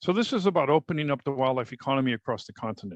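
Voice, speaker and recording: A man talks at a very fast pace, medium pitch and ordinary pitch variation. The sound is dry and close with no echo, over a quiet background. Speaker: panelist presenting on wildlife economy. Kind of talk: slide presentation on a panel.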